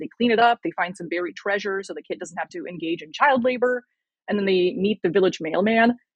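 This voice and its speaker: With music in the background, a woman speaks at a medium pitch and a fairly quick pace, with ordinary pitch variation. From Russia, moved to US at seven. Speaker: communist YouTuber and video essayist. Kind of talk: casual podcast interview.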